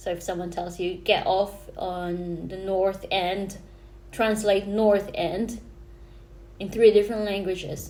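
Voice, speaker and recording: A woman at a medium pitch, dark and mellow in tone, very slow and monotone, with big swings in loudness and audible room echo. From Philippines. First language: Filipino. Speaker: vlogger. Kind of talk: casual vlog talk to camera. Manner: hesitant, many fillers and restarts.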